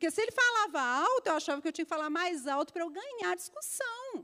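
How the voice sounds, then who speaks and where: This woman's voice is raised and projected, extremely high in pitch. Her tone is bright and sharp, with very wide pitch swings. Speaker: pastor. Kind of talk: sermon. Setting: church service with congregation.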